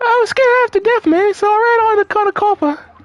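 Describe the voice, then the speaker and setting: A squeaky, female-sounding put-on character voice races along at a very fast pace with an extremely high pitch. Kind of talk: comic overacting. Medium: game stream.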